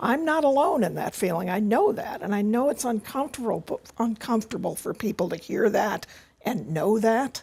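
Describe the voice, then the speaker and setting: Her voice is somewhat breathy and pitched fairly high for a woman. The intonation is lively. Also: moderate pace. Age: 60s. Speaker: healthcare activist. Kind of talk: panel discussion.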